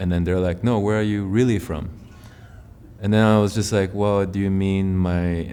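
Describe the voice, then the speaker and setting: At a moderate pace, a man with a very deep, low pitch speaks, with audible room echo. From Taiwan, moved to North America at eight. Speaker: musician. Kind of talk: interview. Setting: filmed interview in a theatre venue. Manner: casual, filler-heavy.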